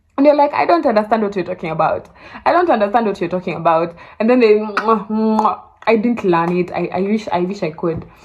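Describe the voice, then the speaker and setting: Over noticeable background noise, a woman at medium pitch talks fairly quickly with lively intonation. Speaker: vlogger. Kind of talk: casual vlog talk to camera. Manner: fast.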